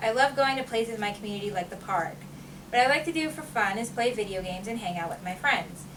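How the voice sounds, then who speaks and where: Speaking at a very fast pace with lively intonation, a woman uses a fairly high pitch. Audible room echo and noticeable background noise are present. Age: 20s. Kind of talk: prepared speech read aloud. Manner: loud, repeats herself.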